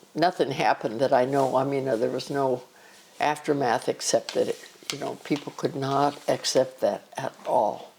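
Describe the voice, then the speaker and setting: At a moderate pace, a woman with a very deep, low pitch talks in a fairly even tone against noticeable background noise. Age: 80s+. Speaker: grandmother. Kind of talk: family interview.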